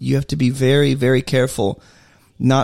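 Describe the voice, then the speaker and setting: Here is a man with an ordinary speaking voice at a medium pitch. He talks at a moderate pace in a very clean recording with a silent background. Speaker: podcast host. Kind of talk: casual conversational podcast chat. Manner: joking, playful.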